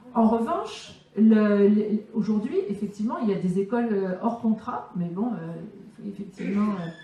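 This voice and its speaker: A woman talks at a fairly slow pace with a slight southern French accent. Her voice carries audible room echo. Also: medium pitch for a woman, ordinary pitch variation. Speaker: teacher and political speaker. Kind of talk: conference Q&A answer. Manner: halting, many fillers.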